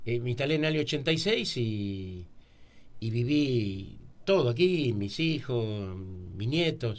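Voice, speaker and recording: A man speaks at a medium pitch. Room echo can be heard. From Argentina, Buenos Aires area. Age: 60s. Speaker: local writer. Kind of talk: radio interview.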